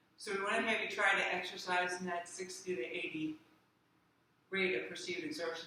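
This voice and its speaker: Room echo is audible and background noise noticeable. The talking is fairly quick. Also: woman. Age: 60s. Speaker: physical therapist. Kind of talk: exercise tutorial. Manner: conversational, with fillers.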